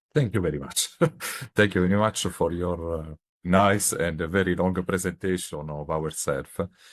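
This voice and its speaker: On a very clean recording with a silent background, a man in an Italian accent speaks with a very deep, low pitch, fairly even intonation and a moderate pace. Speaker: radar scientist. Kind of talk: interview. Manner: halting.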